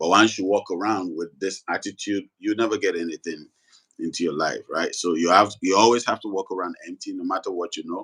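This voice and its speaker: A man talks at a fairly quick clip. The sound is dry and close, with no echo. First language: not English. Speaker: spiritual teacher. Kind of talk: live talk show discussion. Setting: livestream.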